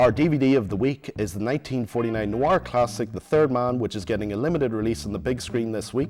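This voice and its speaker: With music in the background, a man talks very fast with hardly any pauses, at medium pitch and ordinary pitch variation. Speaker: guest TV host. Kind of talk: TV review show hosting. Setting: studio.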